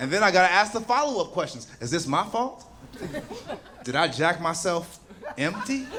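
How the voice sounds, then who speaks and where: A man's high-pitched voice with very wide pitch swings and long, frequent pauses, amid noticeable background noise and audible room echo. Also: moderate pace. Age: 30s. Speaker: stand-up comedian. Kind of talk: stand-up.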